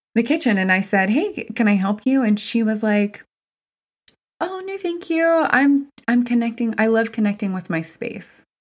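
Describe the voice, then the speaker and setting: A plain, everyday voice: a woman in an American accent, with lively intonation at a fairly slow pace. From West Virginia. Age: 30s. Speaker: mind, body, spirit therapist. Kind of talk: casual chat.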